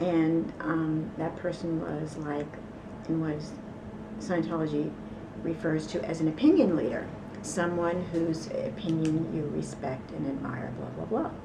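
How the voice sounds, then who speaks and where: A woman with a New York accent at a fairly slow pace, amid noticeable background noise and audible room echo. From New York City. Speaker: ex-cult member. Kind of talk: interview testimony.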